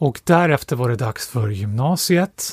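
A somewhat breathy man speaks with lively intonation in a dry, close sound with no echo, on a very clean recording with a silent background. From Stockholm, Sweden. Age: 40s. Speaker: economics professor and author. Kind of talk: casual interview.

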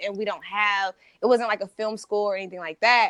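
A woman with an ordinary speaking voice talks at a moderate pace and a fairly high pitch, the sound dry and close with no echo against a quiet background. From US Midwest, St. Louis, Missouri. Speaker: photographer and videographer. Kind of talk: casual interview chat.

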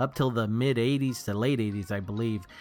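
At a fairly quick pace, a man with a medium pitch uses an unremarkable speaking voice with ordinary pitch variation, recorded very cleanly against a silent background. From Texas, Houston area. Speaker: podcast co-host. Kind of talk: casual chat.

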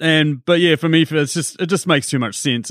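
A man with a New Zealand accent speaks at a fairly quick pace. The recording is very clean with a silent background, and the sound is dry and close with no echo. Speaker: film podcaster. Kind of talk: casual chat.

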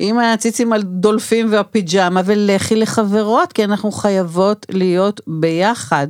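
A woman with an unremarkable speaking voice talks at a fairly slow pace and a medium pitch, with hardly any pauses. Her loudness is very even and her pitch varies in an ordinary way. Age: 60s. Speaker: doula and anthropologist. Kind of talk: interview. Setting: studio.

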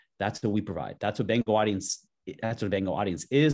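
Over a quiet background, a man with an American accent speaks at a fairly low pitch. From Los Angeles, US. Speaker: mobile app marketing executive. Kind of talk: interview conversation.

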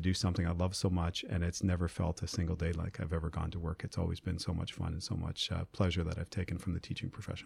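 With an Ontario accent, a man with a very deep, low pitch speaks at a very fast pace in a somewhat breathy voice on a very clean recording with a silent background. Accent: Canadian (Ontario). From rural Ontario, Canada. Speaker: school principals' association president. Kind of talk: interview.

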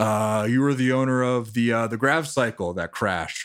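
Putting on a gruff character voice, a man speaks at a fairly slow pace, medium in pitch with ordinary pitch variation.

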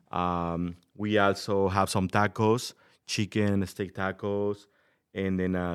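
A man speaks very slowly in a very deep, low pitch with a Mexican accent. His intonation is monotone and flat, on a very clean recording with a silent background. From Mexico City, Mexico. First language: Spanish. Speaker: restaurant owner. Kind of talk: interview. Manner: halting, many fillers.

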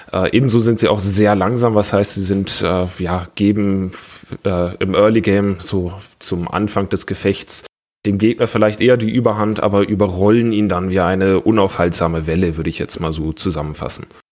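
A man speaks in a normal speaking voice at a moderate pace, his fairly low pitch held in fairly even intonation. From Bavaria, Germany (Augsburg). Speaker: tabletop gaming community organizer. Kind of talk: casual podcast chat.

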